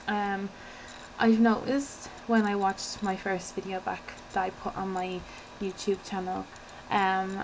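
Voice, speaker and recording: A soft-spoken woman talks at a fairly slow pace with an Irish accent and a medium pitch. Her intonation is monotone and flat, with noticeable background noise behind her. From Ireland. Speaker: beauty vlogger. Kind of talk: casual vlog talk. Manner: fidgety, hesitant with many ums.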